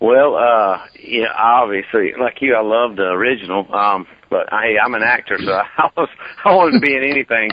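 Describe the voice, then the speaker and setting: A man's medium-pitched voice with a Southern US accent, ordinary pitch variation, and noticeable background noise. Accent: Southern drawl. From US South, Georgia. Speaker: actor. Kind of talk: interview. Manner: halting.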